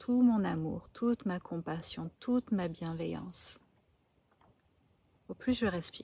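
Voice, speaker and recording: Her voice sits at a medium pitch with a dark, mellow tone. The woman sounds somewhat breathy. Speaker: spiritual coach. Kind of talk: spiritual talk to camera. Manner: slow; calm, gentle.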